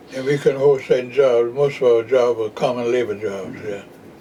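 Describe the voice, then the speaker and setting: At a moderate pace, a man talks while noticeable background noise carries on around him. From Jacksonville, Florida. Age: 90s. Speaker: retired postal worker and voter registration activist. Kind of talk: oral history interview answer.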